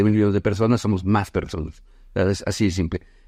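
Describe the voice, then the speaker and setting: Here a man is talking. He goes at a very fast pace. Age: 50s. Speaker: business consultant. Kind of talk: casual chat. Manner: halting.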